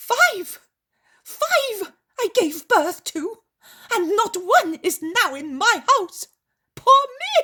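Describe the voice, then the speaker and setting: In a put-on character voice, a woman speaks extremely high and shrill with very wide pitch swings, at a very slow pace full of long, frequent pauses. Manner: hysterical, wailing.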